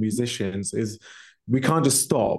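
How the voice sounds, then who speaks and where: This man speaks at medium pitch with a British accent. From England. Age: 30s. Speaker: metal vocalist. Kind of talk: casual chat.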